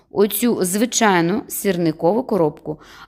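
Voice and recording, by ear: Ordinary pitch variation runs through the clip. It is reading aloud in a natural voice.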